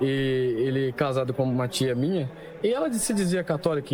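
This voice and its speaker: Pitch sits at a medium level for this man, and it moves in an ordinary way. He keeps a moderate tempo. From Brazil, São Paulo. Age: 20s. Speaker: convert giving testimony. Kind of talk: testimony.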